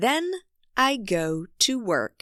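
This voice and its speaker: Very slowly, a woman speaks with very wide pitch swings and a bright, sharp tone, dry and close with no echo on a very clean recording with a silent background. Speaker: English teacher narrator. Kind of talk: graded reader story reading. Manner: slow, clear.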